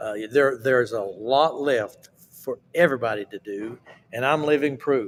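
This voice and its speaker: A man with an Appalachian accent speaks at a fairly slow pace. His loudness swings widely. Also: medium pitch for a man, ordinary pitch variation. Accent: Appalachian Southern US. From Appalachia, US. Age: 70s. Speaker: southern gospel singer. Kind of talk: casual interview.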